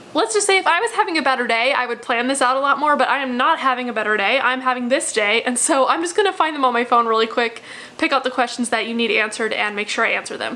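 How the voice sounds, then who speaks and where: A raised, projected voice rushes along at a very fast pace against noticeable background noise. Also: woman. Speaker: math instructor. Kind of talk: casual course overview video. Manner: chatty, informal.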